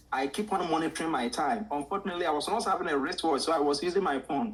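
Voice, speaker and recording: Talking at a very fast pace, a man with a Ghanaian accent uses a fairly high voice with lively intonation. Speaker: art teacher. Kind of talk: interview storytelling. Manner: animated.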